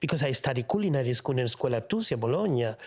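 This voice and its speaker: A man with an Argentine accent, animated in tone and somewhat breathy, with ordinary pitch variation. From Argentina. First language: Spanish. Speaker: opera tenor. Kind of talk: interview answer. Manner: animated, colorful.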